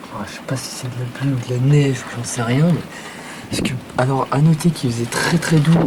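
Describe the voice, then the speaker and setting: A man with medium pitch at a moderate pace, amid noticeable background noise and audible room echo. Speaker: storm chaser. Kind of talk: live commentary. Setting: outdoors. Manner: animated.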